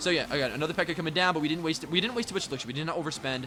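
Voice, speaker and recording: A man's very fast, animated delivery with lively intonation, amid noticeable background noise. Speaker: gaming YouTuber. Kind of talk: gameplay commentary.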